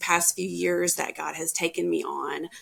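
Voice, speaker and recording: With a Southern US accent, the voice moves along at a fairly slow pace. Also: woman. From US South, Tennessee. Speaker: podcast guest sharing mental health story. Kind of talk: personal testimony in interview.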